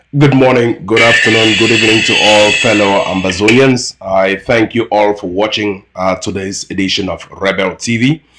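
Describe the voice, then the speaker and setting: A man puts on a hoarse character voice, fairly low in pitch. He keeps a moderate pace with hardly any pauses. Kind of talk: formal broadcast greeting.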